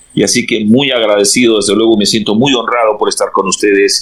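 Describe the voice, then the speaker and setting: Speaking in a Peruvian accent at a fairly quick pace, a man holds a medium pitch amid noticeable background noise. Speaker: pastor. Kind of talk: interview.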